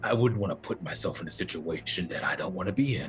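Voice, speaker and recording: Someone speaks in a put-on character voice at a very fast pace, with very wide pitch swings. Clear background noise is audible. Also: man, very deep, low pitch for a man. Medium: actual play. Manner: evasive, noncommittal.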